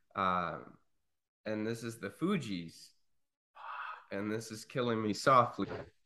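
A man speaks with a fairly low pitch and a bright, sharp tone. He leaves long, frequent pauses. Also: ordinary pitch variation, fairly slow pace. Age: 30s. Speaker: podcast guest, music fan. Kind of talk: casual chat.

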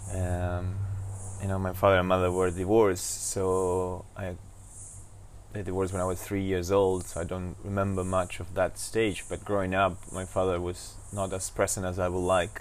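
Speaking in a Spanish accent, a man with a very deep, low voice keeps a flat monotone at a moderate pace in audible room echo. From Argentina, Buenos Aires. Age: 40s. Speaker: actor and entrepreneur. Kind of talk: casual interview. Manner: halting.

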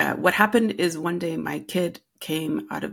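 A woman talks with vocal fry. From US Midwest, Rapid City, South Dakota. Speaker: storytelling consultant and educator. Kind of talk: casual interview. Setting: remote call.

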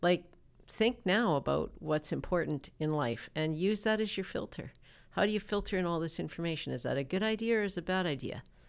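A woman with a Canadian accent and an unremarkable speaking voice talks at a fairly quick pace and fairly low pitch with lively intonation, on a very clean recording with a silent background. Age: 50s. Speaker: interview guest. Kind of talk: casual interview. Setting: studio.

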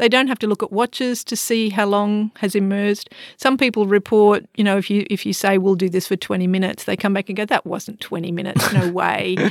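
Spoken with an Australian accent at a fairly quick pace, the voice keeps a fairly even intonation in a dry, close sound with no echo. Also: woman, medium pitch for a woman, hardly any pauses. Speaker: psychology lecturer and forest therapy guide. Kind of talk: expert interview.

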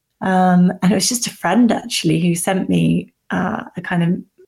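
Pitched in the medium range, a woman's voice sounds somewhat breathy. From Cornwall, southwest England. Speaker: dating app founder. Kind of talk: interview.

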